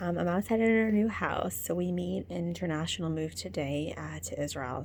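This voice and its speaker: A woman talks quietly at a moderate pace. Her pitch swings very widely. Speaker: coach teaching stress relief techniques. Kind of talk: casual video diary. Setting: outdoors at night. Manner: hesitant with many fillers.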